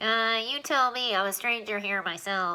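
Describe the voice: A woman uses a squeaky, put-on character voice at a moderate pace in a very clean recording with a silent background. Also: fairly high pitch for a woman.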